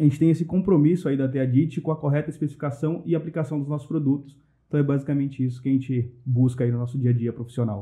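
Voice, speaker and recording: A man's fairly high voice at a very fast pace, with hardly any pauses. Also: fairly even intonation. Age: 20s. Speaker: mechanical engineer, trainee. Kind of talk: podcast interview.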